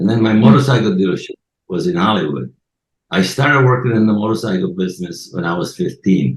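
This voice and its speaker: A man with a fairly low voice talks very fast, his pitch swinging very widely. Vocal fry runs through his speech. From Sicily, Italy. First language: Italian (Sicilian). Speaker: podcast guest. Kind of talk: casual interview. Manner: halting.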